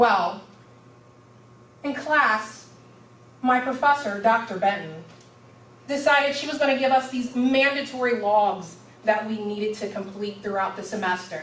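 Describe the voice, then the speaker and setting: A woman with a fairly high pitch speaks at a moderate pace with long, frequent pauses, big swings in loudness and ordinary pitch variation, amid noticeable background noise and audible room echo. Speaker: university student giving a speech. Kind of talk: public speech. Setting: stage with audience.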